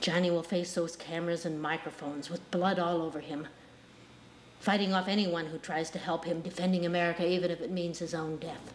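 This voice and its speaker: A woman speaks at a fairly quick pace with a fairly low pitch. Her intonation is monotone and flat, with light background noise behind her. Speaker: actor performing monologue. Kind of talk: dramatic acted monologue. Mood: intense, menacing, bitter. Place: studio.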